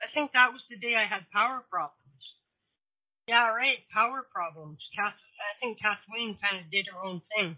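Using an ordinary speaking voice, a woman speaks at a moderate pace with a fairly high pitch and big swings in loudness. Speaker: internet radio show host. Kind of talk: casual chat. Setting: video call from home. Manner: rambling, talkative.

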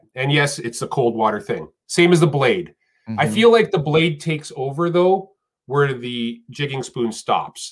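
An American accent from a man, fairly high-pitched and lively in intonation, at a moderate pace against a quiet background. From Texas. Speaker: professional angler; podcast guest. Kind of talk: interview. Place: home room.

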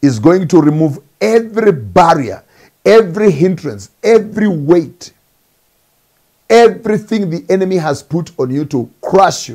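Lively intonation marks a man's dark, mellow tone. The background is quiet. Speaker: preacher. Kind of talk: sermon. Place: office. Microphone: lapel.

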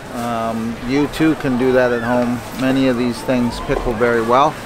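A man talks at a moderate pace with fairly even intonation, in a dry sound with no echo and noticeable background noise. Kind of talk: casual market update. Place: market.

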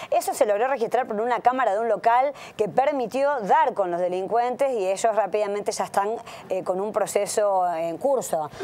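A woman speaks at a moderate pace. Her fairly high voice has lively intonation. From Argentina, Santa Fe city; Argentina. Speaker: city councillor. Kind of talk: radio interview; interview answer. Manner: halting, many fillers. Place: studio. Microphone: lapel.

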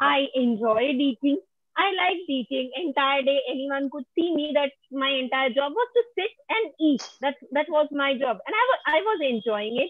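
Against a quiet background, a woman speaks at a moderate pace with hardly any pauses. Her voice is high and her intonation lively. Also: dry sound with no echo. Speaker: panel guest; guest. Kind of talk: personal testimony. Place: home room. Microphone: earbuds.

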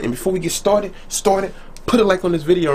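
Light background noise behind a man's speech. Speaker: reaction video host. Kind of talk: casual vlog chat.

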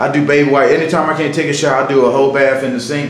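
The speech comes at a very fast pace. Room echo is audible. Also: man. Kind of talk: casual vlog chat. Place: bathroom.

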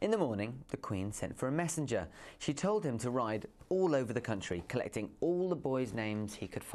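A natural reading voice. Nothing more is heard.

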